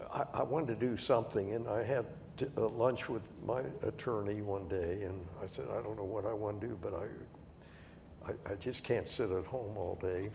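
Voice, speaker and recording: A man speaks at a moderate pace with a fairly low pitch and ordinary pitch variation. His tone is dark, mellow and somewhat breathy, with audible room echo. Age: 80s+. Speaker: retired company founder. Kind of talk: panel interview.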